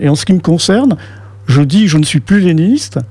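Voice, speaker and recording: A man's high-pitched voice with very wide pitch swings at a moderate pace. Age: 60s. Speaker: activist. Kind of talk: radio interview.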